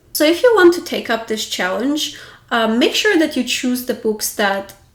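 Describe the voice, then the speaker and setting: Someone with a non-native accent talks at a moderate pace. The pitch swings very widely. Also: woman. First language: not English. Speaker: book vlogger. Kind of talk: casual talk to camera. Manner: casual.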